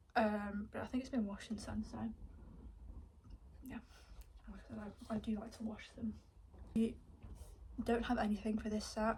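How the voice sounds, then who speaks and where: A soft-spoken woman with a fairly high pitch talks at a moderate pace in a monotone, flat intonation, with big swings in loudness and long, frequent pauses. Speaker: equestrian vlogger. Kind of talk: casual haul video.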